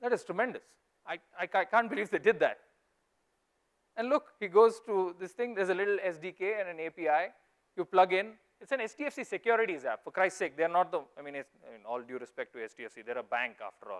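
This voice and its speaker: Very fast and with a Goan accent, a man speaks at a high pitch with very wide pitch swings and big swings in loudness. The sound is dry and close with no echo, on a very clean recording with a silent background. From India, Mangalore. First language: Konkani. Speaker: investor. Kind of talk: conference talk. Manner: animated.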